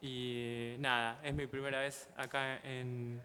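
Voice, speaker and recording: With an Argentine accent, a man speaks at a medium pitch in a monotone, flat intonation. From Argentina. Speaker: illustrator and comics artist teaching a workshop. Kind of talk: workshop teaching. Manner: halting, with fillers.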